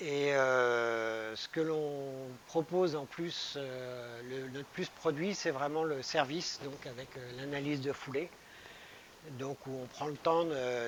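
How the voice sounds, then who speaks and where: A man speaks very slowly with fairly high pitch and fairly even intonation. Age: 60s. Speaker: running shop manager. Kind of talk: interview. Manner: hesitant, many fillers.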